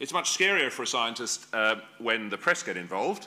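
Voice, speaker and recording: With an Australian accent and a bright, sharp tone, a man talks at a very fast pace and a medium pitch. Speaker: genetics professor. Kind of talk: lecture.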